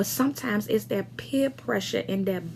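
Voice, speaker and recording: Background noise is noticeable. Over it, a woman speaks at a medium pitch. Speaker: pastor. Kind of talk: sermon. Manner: hesitant with fillers.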